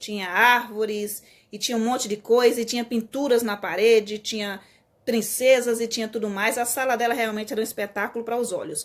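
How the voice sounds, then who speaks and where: A woman speaks at a fairly quick pace with a fairly high pitch and fairly even intonation. The recording is very clean, with a silent background. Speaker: teacher. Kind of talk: live stream talk. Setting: live stream. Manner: fast.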